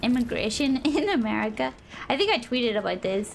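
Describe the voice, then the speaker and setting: A woman with a Northern Irish accent speaks in a high pitch with lively intonation over noticeable background noise. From Northern Ireland. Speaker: streamer. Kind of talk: gameplay stream chat.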